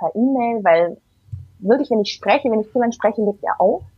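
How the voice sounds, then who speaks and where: Music plays behind a woman speaking at a fairly high pitch. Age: 30s. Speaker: single mother. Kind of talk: interview.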